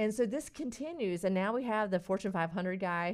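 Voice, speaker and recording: With a North Carolina accent, a woman talks at a fairly quick pace against a quiet background. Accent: rural North Carolina Southern. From North Carolina, Stanly County. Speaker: integrative physician. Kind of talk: radio interview.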